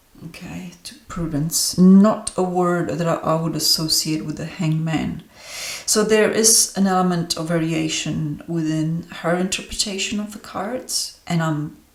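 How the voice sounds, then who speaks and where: Amid noticeable background noise, a woman speaks at a fairly slow pace and fairly low pitch, with ordinary pitch variation and big swings in loudness. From Romania. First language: Romanian. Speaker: tarot reader and astrologer. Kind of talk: deck review monologue. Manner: hesitant, many fillers.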